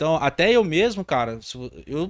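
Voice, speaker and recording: A man speaks with a high pitch. The very clean recording has a silent background and a dry, close sound with no echo. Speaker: podcast host, maintenance career coach. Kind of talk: casual podcast chat. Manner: stumbling, runs words together.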